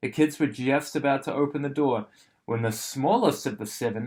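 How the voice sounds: This is a natural reading voice. Its pitch variation is ordinary.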